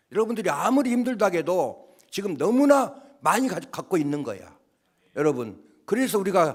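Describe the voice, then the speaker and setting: With very wide pitch swings, a man speaks high in pitch at a fairly quick pace. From Jeolla, Gwangju area, Korea. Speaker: pastor. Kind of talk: sermon. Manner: animated.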